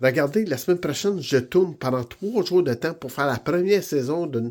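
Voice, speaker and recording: With a slight Franco-Ontarian accent, a man talks at a moderate pace with lively intonation. The recording is very clean, with a silent background. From Ontario, Canada (Franco-Ontarian). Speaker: vlogger and aspiring TV host. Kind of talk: motivational vlog. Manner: enthusiastic, encouraging.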